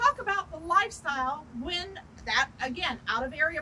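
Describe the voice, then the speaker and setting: A raised, projected voice with a bright, sharp tone at a fairly slow pace over light background noise. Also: woman. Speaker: real estate agent. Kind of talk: casual training video. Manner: animated. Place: street. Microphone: lapel.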